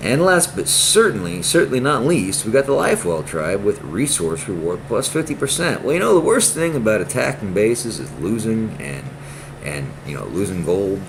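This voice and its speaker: Amid noticeable background noise and audible room echo, a man at a medium pitch makes very wide pitch swings at a moderate pace. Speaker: gaming youtuber. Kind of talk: casual gameplay commentary. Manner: stuttering, repetitive; animated.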